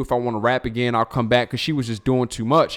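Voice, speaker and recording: A man's unremarkable speaking voice with an American accent, medium pitch and fairly even intonation, over a very clean, silent background. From Baltimore County, Maryland. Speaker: music producer and songwriter. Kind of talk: casual interview chat.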